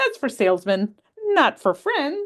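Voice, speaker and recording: In a put-on character voice, a woman speaks at a high pitch and a fairly slow pace with very wide pitch swings. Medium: read story. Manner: gruff, dramatic.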